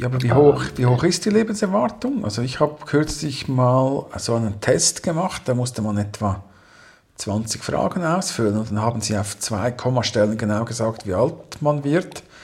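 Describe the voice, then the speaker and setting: Somewhat breathy, a man speaks at a moderate pace in a medium pitch with lively intonation. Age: 40s. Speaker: podcast co-host. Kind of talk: casual chat.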